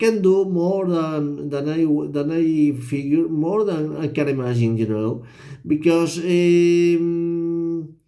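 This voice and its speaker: The tone is dark and mellow, the pitch varies in an ordinary way, and room echo can be heard. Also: man. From Spain. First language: Spanish. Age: 50s. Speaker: vlogger. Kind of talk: personal monologue vlog. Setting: hotel room at midnight. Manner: halting, many repetitions and fillers.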